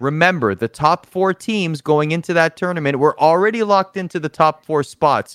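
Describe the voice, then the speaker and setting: A man with an ordinary speaking voice, fairly high-pitched, talks at a moderate pace with ordinary pitch variation and hardly any pauses, in a very clean recording with a silent background and a dry, close sound with no echo. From Toronto, Canada. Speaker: esports show host. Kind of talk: casual chat.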